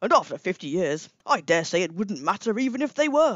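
Lively intonation in a natural reading voice

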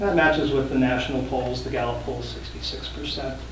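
A man's voice comes through with audible room echo over noticeable background noise. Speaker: cannabis policy advocate. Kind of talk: testimony. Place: meeting room. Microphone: podium.

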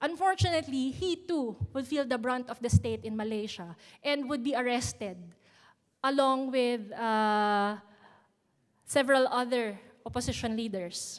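In a quiet background, a woman with a Filipino accent speaks at a moderate pace in a high pitch, with lively intonation and long, frequent pauses. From Philippines. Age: young. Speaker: youth activist; speaker. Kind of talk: prepared speech. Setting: stage with audience. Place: hall. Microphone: podium.

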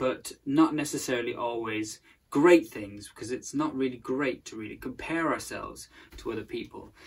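A man talks at a moderate pace, his loudness swinging widely. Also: ordinary pitch variation. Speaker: presenter. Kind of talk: sermon-style talk to camera. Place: home room. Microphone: phone near.

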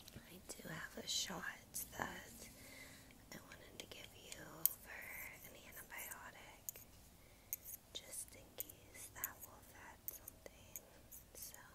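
Loud background noise fills the clip as the speaker goes at a very slow pace with long, frequent pauses. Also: woman. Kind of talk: soft roleplay talk to viewer. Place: home room. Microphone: earbuds.

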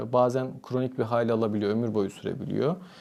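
Over noticeable background noise, this man rattles along at a very fast tempo. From Turkey, Antalya. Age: 30s. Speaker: psychiatrist. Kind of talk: interview.

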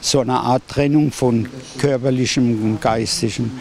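A man speaks with fairly even intonation, his voice dry with no echo over light background noise. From Ludwigshafen, Germany. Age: 80s+. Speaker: war eyewitness. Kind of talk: interview answer. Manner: hesitant, with many fillers. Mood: reflective, solemn recollection.

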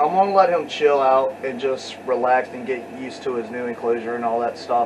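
A man's voice, moving through ordinary pitch variation, is heard against noticeable background noise. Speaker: reptile keeper vlogger. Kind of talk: casual vlog chat. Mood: relaxed, excited about new pet. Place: home room. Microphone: webcam.

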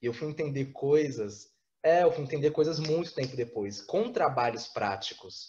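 A man's fairly high, somewhat breathy voice with lively intonation at a moderate pace, over light background noise. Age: 20s. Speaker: theatre artist; interviewee. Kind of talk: interview. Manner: halting. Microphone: webcam.

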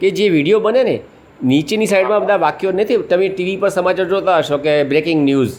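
With lively intonation, a man talks in a high-pitched voice. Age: 60s. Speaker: retired social activist. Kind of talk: casual interview.

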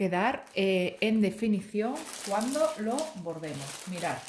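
A woman's somewhat breathy, animated voice at a fairly slow pace, with ordinary pitch variation. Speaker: embroidery YouTuber. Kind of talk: product review tutorial.

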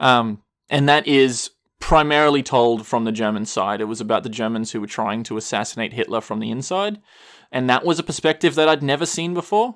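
The recording is very clean, and the background is silent. An unremarkable speaking voice talks fairly quickly with lively intonation. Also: man, medium pitch for a man. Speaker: podcast co-host. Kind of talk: casual chat.

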